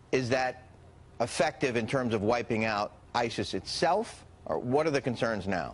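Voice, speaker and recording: A man talks at a moderate pace with an ordinary speaking voice. His pitch variation is ordinary. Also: medium pitch for a man. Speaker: news anchor. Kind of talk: TV news interview questions.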